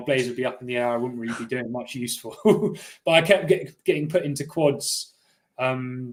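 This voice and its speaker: A man with a Cornish accent at medium pitch and a fairly quick pace. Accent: little Cornish. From Cornwall, England. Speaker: elite rower. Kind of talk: interview. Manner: hesitant, lots of fillers.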